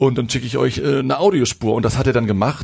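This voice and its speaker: A man's somewhat breathy voice at a very fast pace, over a quiet background. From northern Germany, near Hamburg. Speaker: rock musician. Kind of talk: casual interview.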